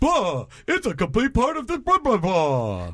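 A man speaks in a put-on character voice. His pitch sits high. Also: moderate pace. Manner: theatrical, exaggerated.

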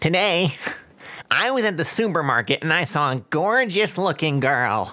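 In a put-on character voice, a man speaks high and at a moderate pace, his pitch swinging very widely. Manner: nerdy.

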